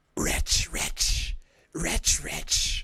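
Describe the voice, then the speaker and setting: In a put-on character voice, the speaker whispers raspily. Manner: whispering.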